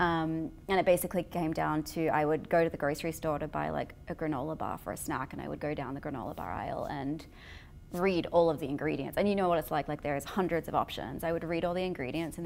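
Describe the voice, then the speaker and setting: A woman talks at a very fast pace with a very deep, low pitch and vocal fry. Her pitch variation is ordinary. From Australia. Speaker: vegan food company founder. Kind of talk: podcast interview. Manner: casual, many fillers.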